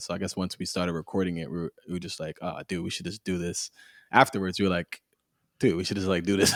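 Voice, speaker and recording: In a very clean, dry, close recording with a silent background and no echo, a man with an American accent talks very fast in a very deep, low, monotone voice with flat intonation. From US East Coast. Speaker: podcast co-host. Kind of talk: casual chat.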